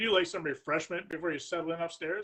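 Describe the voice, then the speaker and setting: Putting on a raspy character voice, a man talks at a very fast pace with a high pitch and fairly even intonation. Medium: read story. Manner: curt, harsh, commanding.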